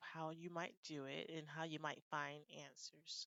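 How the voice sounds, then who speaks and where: In a plain, everyday voice, a woman with an American accent talks at a moderate pace and a fairly low pitch. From United States. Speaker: IELTS speaking tutor. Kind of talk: casual talk to camera.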